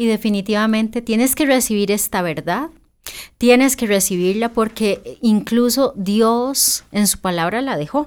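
A woman talks at a fairly slow pace in a fairly high pitch with ordinary pitch variation, on a very clean recording with a silent background. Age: 40s. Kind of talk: casual faith-based chat.

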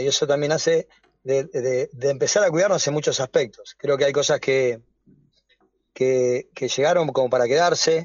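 A man speaks with a fairly high voice. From Argentina, Avellaneda (Greater Buenos Aires). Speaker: sports goods businessman. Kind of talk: radio interview. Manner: halting, repeats words.

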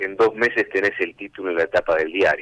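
Dry and close, with no echo, a man's voice is heard. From Argentina, Cañada de Gómez (Santa Fe). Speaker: livestock market commentator. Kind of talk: casual interview.

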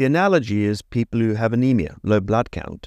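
In a South African accent, the speaker talks at a fairly quick pace, with a dry, close sound with no echo and a quiet background. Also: man. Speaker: neurology professor and ALS researcher. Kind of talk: interview. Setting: studio.

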